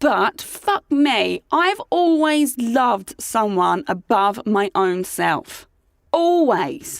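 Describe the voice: The delivery has a dramatic tone and big pitch swings. It moves at a very slow pace with vocal fry. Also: woman, fairly high pitch for a woman.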